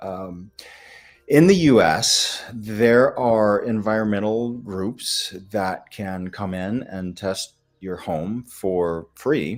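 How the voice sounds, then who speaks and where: A man with a Midwestern accent talks at a very slow pace. His pitch is fairly low, and his loudness swings a lot. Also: ordinary pitch variation. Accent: American Midwestern. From US Midwest. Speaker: functional medicine doctor. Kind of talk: live Q&A webinar. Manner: hesitant, many fillers.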